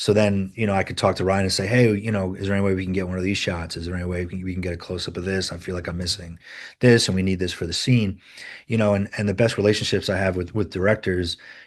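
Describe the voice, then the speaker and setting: A very deep, low-voiced man with a slight Rhode Island accent, very fast and monotone, flat in intonation, over a quiet background. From US Northeast, Rhode Island. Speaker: film editor. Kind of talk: interview. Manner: halting, many repeated words and fillers.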